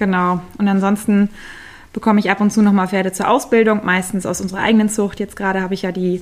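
A woman with a medium-pitched voice speaks fairly quickly in a flat, monotone way. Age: 30s. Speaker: riding instructor. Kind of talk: interview.

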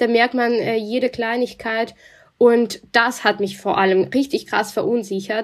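Speaking at a fairly slow pace in a Russian accent, a woman holds a fairly high pitch and fairly even intonation. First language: Russian (speaking German). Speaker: journalist. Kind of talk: interview.

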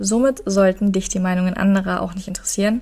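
Her tone is dark and mellow, somewhat breathy, at a medium pitch for a woman. This woman speaks at a fairly quick pace. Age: 20s. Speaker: podcast co-host. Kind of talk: casual chat.

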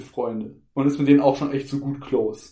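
A man's fairly high-pitched voice. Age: 20s. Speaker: podcast co-host. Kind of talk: casual chat.

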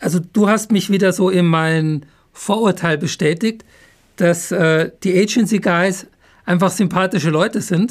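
A man speaks at a fairly slow pace in a high pitch with fairly even intonation. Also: very even loudness. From Upper Bavaria. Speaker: podcast host, brand consultant. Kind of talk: interview.

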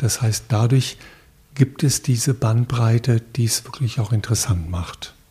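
Somewhat breathy, the man talks at a fairly unhurried pace. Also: medium pitch for a man, ordinary pitch variation. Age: 60s. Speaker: podcast interviewer, long-time hospice volunteer. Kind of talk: interview.

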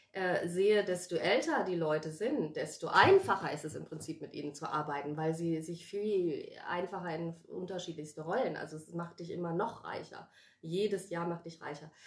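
Over noticeable background noise, a woman talks at a moderate pace with hardly any pauses, big swings in loudness and ordinary pitch variation. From Germany, Wiesbaden (Hesse) then Addis Ababa. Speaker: actress and life coach. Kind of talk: casual chat.

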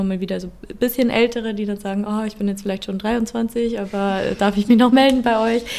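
A woman's fairly high, monotone voice with flat intonation at a fairly quick pace. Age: 20s. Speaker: psychologist and youth helpline counsellor. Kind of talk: interview.

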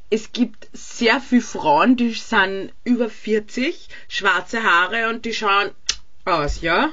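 A woman talks at a fairly high pitch and a very slow pace. Her pitch variation is ordinary. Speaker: podcast co-host. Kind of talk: casual chat. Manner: laughs often.

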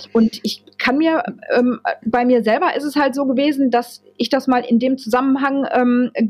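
A woman speaks in a high voice. Her intonation stays fairly even. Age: 40s. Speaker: office clerk turned social pedagogy student. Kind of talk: casual interview chat. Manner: halting, many fillers.

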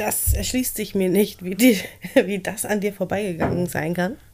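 The speech unfolds at a fairly slow pace with ordinary pitch variation, over noticeable background noise. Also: woman. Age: 30s. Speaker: podcast co-host. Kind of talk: casual chat.

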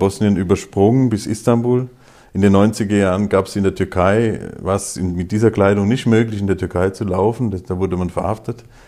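A man's dark, mellow voice, fairly low in pitch, at a fairly quick pace with fairly even intonation, on a very clean recording with a silent background. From Hesse, Germany (Groß-Bieberau near Darmstadt). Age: 50s. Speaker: imam. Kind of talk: interview.

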